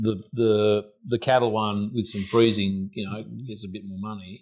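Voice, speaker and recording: Here is a man with an Australian accent and a fairly low pitch, speaking at a fairly slow pace. The recording is very clean, with a silent background. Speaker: podcast host. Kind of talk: casual chat.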